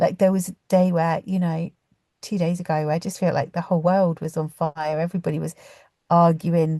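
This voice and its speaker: In a British accent, a woman speaks at a fairly low pitch. The background is quiet. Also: fairly quick pace, dry, close sound with no echo. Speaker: podcast host and community founder. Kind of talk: casual reflective monologue. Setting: in a car. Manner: fast; passionate, animated.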